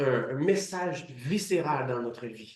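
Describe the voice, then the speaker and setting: A man with lively intonation at a very slow pace. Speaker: preacher. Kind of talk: sermon.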